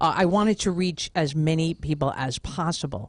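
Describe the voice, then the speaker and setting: Fairly low-pitched with ordinary pitch variation, a woman speaks with an American accent in an unremarkable speaking voice. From New York (Brooklyn). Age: 50s. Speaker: podcast host and author. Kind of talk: radio interview.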